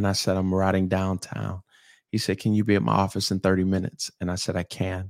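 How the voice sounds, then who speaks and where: Very deep and low in pitch, a man with a Southern accent speaks with monotone, flat intonation in a dry, close, very clean recording with a silent background. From US South, St. Petersburg, Florida. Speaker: pastor. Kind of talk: casual chat. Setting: studio.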